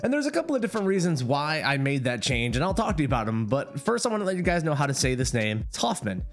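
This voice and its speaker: Mumbling at a very fast pace, a man with a fairly high pitch swings very widely in pitch while music plays in the background. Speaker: gaming streamer and content creator. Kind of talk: casual vlog monologue.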